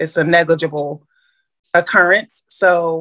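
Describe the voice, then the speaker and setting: Against a quiet background, a woman with an American accent speaks very slowly in a fairly low voice with a bright, sharp tone. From Chicago. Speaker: realtor and transaction coordinator business owner; podcast guest. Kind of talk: interview. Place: home room. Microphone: video call.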